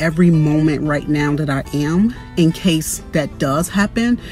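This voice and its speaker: Over clear music in the background, a woman with a very deep, low pitch speaks with ordinary pitch variation, the sound dry with no echo. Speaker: vlogger. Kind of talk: casual vlog chat. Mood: upbeat, reflective. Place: car. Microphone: phone near.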